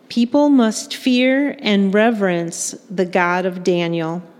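A woman speaks at a fairly slow pace in a fairly high voice with lively intonation. Noticeable background noise runs behind her. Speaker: liturgist reading scripture. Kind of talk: scripture reading in church. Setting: church.

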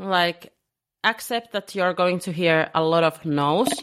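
A woman speaks at a moderate pace with a Finnish accent, her pitch sitting in the medium range. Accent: Finnish accent in English, non-native. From Finland. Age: 20s. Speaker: business coach. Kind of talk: podcast interview. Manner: hesitant, many fillers.

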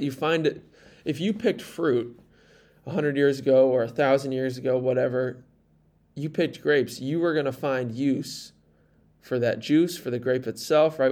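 At a moderate pace, the clip presents an unremarkable speaking voice. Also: man. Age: 20s. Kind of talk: solo podcast monologue. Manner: casual, conversational.

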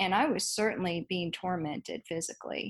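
A woman with an American accent speaks at a moderate pace, sounding somewhat breathy. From Dallas, Texas. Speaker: author and teacher. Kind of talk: interview.

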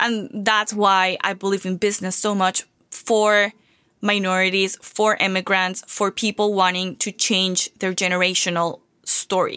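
On a very clean recording with a silent background, a woman with a bright, sharp tone speaks at a fairly slow pace. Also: medium pitch for a woman, dry, close sound with no echo. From Venezuela. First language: Spanish. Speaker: marketing and personal branding coach. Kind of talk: solo podcast monologue. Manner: energetic, enthusiastic.

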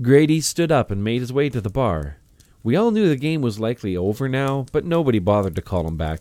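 An unforced voice does the reading in this clip.

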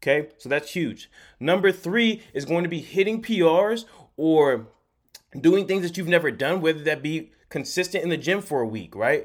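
On a very clean recording with a silent background, a man with a high pitch speaks in an animated tone with lively intonation at a moderate pace. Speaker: fitness coach. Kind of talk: pep talk. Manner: emphatic, repeating key phrases.

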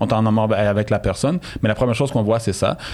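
Very fast speech in a Quebec accent, with ordinary pitch variation. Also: man. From Montreal, Saint-Michel, Quebec. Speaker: DJ. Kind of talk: interview. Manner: halting.

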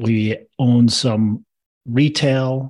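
Against a quiet background, a man speaks in a normal speaking voice. His pitch is medium and his intonation fairly even. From Minnesota. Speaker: real estate investor. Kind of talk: interview.

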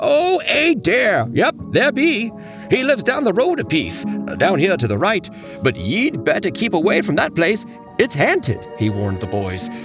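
Over clear music in the background, a man puts on a character voice that is high-pitched, croaky and cackling, delivered at a moderate pace. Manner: warning, ominous.

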